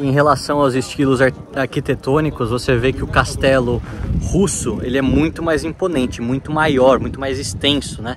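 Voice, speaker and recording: A man talks at a moderate pace with a medium pitch and fairly even intonation. Noticeable background noise can be heard behind him. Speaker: travel vlogger. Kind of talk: travel vlog narration. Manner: soft-spoken.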